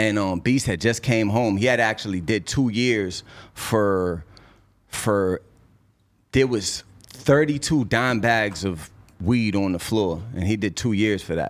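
A man with an American accent speaks at a fairly slow pace on a very clean recording with a silent background. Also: fairly low pitch for a man, ordinary pitch variation. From Cambridge, Massachusetts. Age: 30s. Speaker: rapper. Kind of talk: casual interview.

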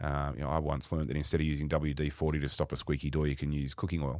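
A man with an Australian accent, a very deep, low pitch and vocal fry, on a very clean recording with a silent background. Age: 50s. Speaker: retail company executive. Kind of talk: podcast interview.

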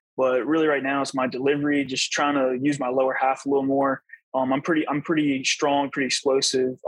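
A man with an American accent talks at a very fast pace, his pitch fairly high. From Virginia, US. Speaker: baseball pitcher. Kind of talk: interview.

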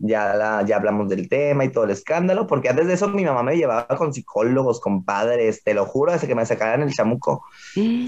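With lively intonation and a medium pitch, a man speaks at a moderate pace in an ordinary speaking voice. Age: 20s. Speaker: drag performer. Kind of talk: casual interview chat.

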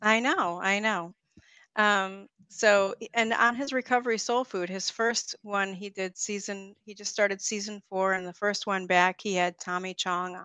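A woman has a plain, everyday voice, with a medium pitch and fairly even intonation. She talks at a fairly slow pace, and her loudness swings widely. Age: 50s. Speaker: hypnotherapist and author. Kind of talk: casual chat.

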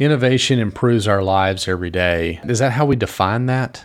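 At a very fast pace, a man with a fairly low pitch speaks on a very clean recording with a silent background. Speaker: podcast co-host.

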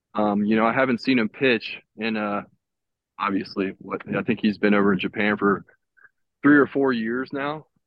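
A man speaks in a plain, everyday voice at a moderate pace, with medium pitch and ordinary pitch variation. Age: 30s. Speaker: professional baseball pitcher. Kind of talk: casual chat. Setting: video call, walking outdoors.

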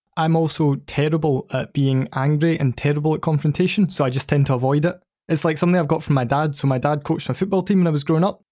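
Very fast and with hardly any pauses, a voice with a Scottish accent and a dark, mellow tone keeps fairly even intonation and very even loudness on a very clean recording with a silent background. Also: man, fairly high pitch for a man. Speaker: football podcast guest. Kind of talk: casual chat.

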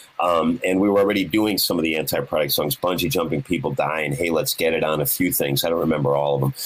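A man talks very fast with a very deep, low pitch, ordinary pitch variation and very even loudness. He hardly pauses, and there is noticeable background noise. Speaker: guitarist. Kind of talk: casual chat. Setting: video call.

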